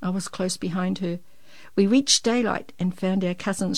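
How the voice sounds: Reading done in a natural reading voice.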